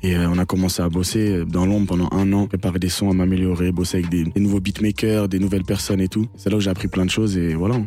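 At a very fast pace, a man speaks in a very deep, low pitch with monotone, flat intonation. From France. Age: 20s. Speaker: singer. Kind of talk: radio interview. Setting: radio studio. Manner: casual.

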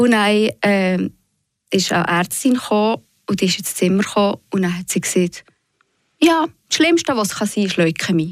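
The delivery rises and falls with lively intonation at a fairly quick pace. The sound is dry and close, with no echo. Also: woman. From Switzerland, Fribourg region (Bösingen). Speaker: patient and author. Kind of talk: radio interview. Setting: studio.

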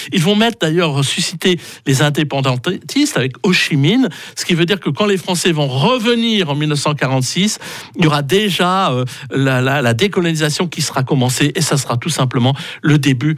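There is noticeable background noise behind a man's voice. He speaks in a fairly high pitch with lively intonation. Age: 60s. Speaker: radio historian. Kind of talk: history segment on radio. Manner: halting with many fillers.

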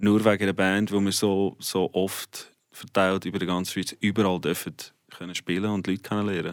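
A man's fairly low-pitched voice at a moderate pace, monotone and flat, in a very clean recording with a silent background. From South Africa. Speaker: rock musician. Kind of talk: radio interview.

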